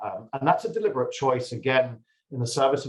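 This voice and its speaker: Speaking with ordinary pitch variation, a man sounds somewhat breathy. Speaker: pharmaceutical executive. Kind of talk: conference presentation. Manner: frequent fillers and repetitions.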